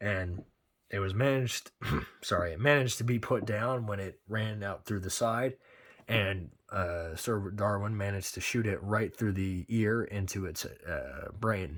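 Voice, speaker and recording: In a put-on character voice, a man speaks fairly low and raspy at a moderate pace. The recording is very clean, with a silent background. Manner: stuttering, hesitant.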